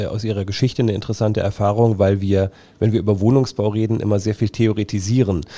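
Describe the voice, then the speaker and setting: Very fast, fairly low male speech with a dark, mellow tone and monotone, flat intonation, in a very clean recording with a silent background. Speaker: podcast host. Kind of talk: interview. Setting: on location at a company.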